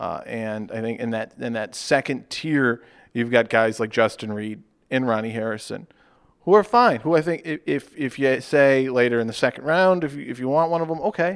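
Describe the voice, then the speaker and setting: A man with an ordinary speaking voice at a medium pitch talks at a moderate pace with lively intonation, recorded very cleanly against a silent background. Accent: American. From Charlotte, North Carolina. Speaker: sports podcast co-host. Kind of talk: casual chat.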